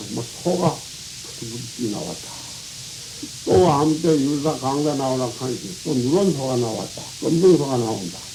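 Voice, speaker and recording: Room echo is audible along with noticeable background noise. A man talks at a fairly slow pace. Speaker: Buddhist monk. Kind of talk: dharma talk. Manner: colloquial, rambling with interjections.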